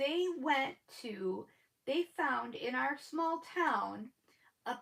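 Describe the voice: Speaking slowly with vocal fry, a woman uses a high pitch, lively intonation and a fairly bright tone.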